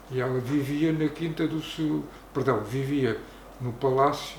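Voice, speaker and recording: A man's fairly even intonation amid noticeable background noise and audible room echo. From Portugal, Arruda dos Vinhos. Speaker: local elder. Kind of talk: oral history interview.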